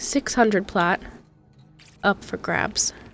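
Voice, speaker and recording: Over music in the background, a woman talks with fairly even intonation. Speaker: gaming streamer. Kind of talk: casual chat. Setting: livestream. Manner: low energy, pep taken out. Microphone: very close to the microphone.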